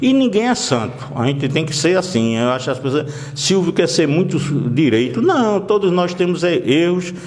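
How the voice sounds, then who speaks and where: A man speaks in a high pitch with lively intonation at a moderate pace. Noticeable background noise and audible room echo fill the recording. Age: 60s. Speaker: local politician. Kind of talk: interview.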